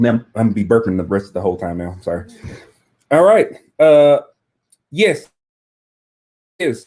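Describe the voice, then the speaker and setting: A man at medium pitch with an American accent, dark, mellow tone, very wide pitch swings, big swings in loudness, long, frequent pauses and a moderate pace. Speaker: live stream co-host and reseller. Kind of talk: casual chat. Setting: home live stream. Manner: animated.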